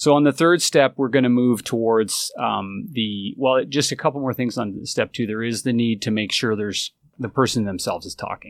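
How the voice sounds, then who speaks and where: At a moderate pace with hardly any pauses, a man with an unremarkable speaking voice and medium pitch shows ordinary pitch variation, recorded very cleanly with a silent background and a dry, close sound with no echo. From Canada. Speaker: recruiting agency executive. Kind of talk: interview.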